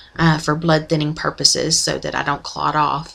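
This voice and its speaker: A woman speaks with a strong Oklahoma accent. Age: 40s. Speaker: video blogger, former nurse. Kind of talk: personal video diary. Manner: hesitant, many ums.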